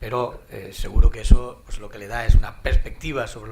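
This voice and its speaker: A man speaks at a moderate pace with an Andalusian accent. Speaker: panel moderator. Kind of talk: conference panel moderation. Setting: conference hall with audience. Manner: halting, repeats words.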